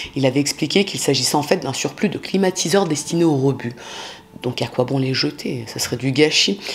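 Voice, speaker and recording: Through noticeable background noise, a woman talks at a fairly quick pace with lively intonation. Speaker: true crime youtuber. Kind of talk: casual true crime narration. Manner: fast; casual, many fillers.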